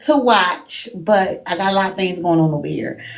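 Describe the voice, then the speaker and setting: In a Baltimore accent, a woman speaks at a medium pitch and a moderate pace, with audible room echo and noticeable background noise. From Baltimore, Maryland. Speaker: live stream guest, fellow streamer. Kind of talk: casual chat.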